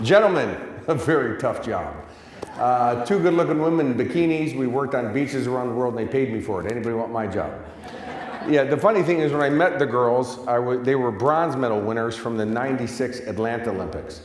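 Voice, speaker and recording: A man with an American accent speaks fairly quickly at a medium pitch with lively intonation. The recording has audible room echo and noticeable background noise. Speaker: success coach. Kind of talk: motivational talk. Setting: stage with audience. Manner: animated.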